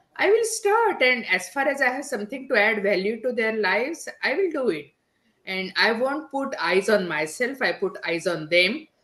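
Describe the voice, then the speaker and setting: The speaker has a strong Indian accent and a bright, sharp tone. Their pitch swings very widely at a moderate pace. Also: woman, fairly high pitch for a woman. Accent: heavy Indian. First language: not English (English is third language). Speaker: digital business strategist, podcaster. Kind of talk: podcast interview.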